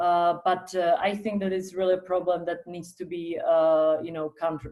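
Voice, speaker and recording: A woman with a fairly low pitch and a dark, mellow tone speaks in a monotone, flat intonation at a moderate pace. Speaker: politician. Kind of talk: panel discussion. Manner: loud.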